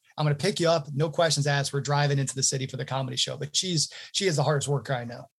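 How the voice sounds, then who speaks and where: A man's somewhat breathy, fairly high voice at a very fast pace. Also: fairly even intonation. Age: 30s. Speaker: entrepreneur in email sales outreach. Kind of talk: interview.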